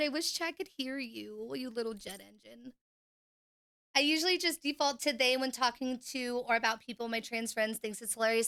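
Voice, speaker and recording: A woman speaks in a raised, projected voice with a high pitch and a bright, sharp tone. Her pitch variation is ordinary. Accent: American. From Oklahoma, US. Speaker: gaming livestreamer. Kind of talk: casual livestream chat. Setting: home stream room. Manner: fast; animated, hyperactive.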